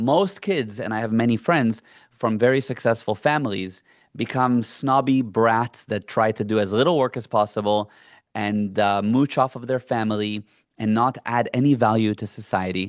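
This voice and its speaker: A man speaks at a medium pitch with ordinary pitch variation. His pace is moderate, over a quiet background. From US, born in South Africa (there until 7). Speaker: entrepreneur and business coach. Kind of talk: podcast interview.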